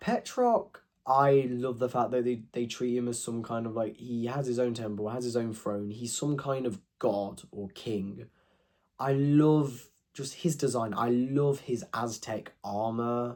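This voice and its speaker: A man speaks quietly at a medium pitch. His intonation is fairly even and his pace fairly slow. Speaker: youtuber ranking fiction. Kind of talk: casual monologue review. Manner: halting.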